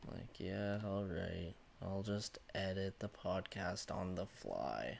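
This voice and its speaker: A man's very deep, low voice with vocal fry, at a very slow pace. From Canada, Newfoundland. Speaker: hockey podcast host. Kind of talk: casual chat. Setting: live stream.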